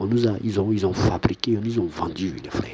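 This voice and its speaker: A soft-spoken man, fairly low in pitch, with lively intonation. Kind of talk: monologue to camera. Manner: halting.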